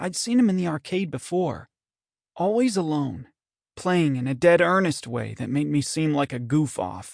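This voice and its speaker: Against a quiet background, a man with an unremarkable speaking voice talks at a moderate pace with lively intonation, the sound dry and close with no echo. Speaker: audiobook narrator. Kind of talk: audiobook reading, first-person story.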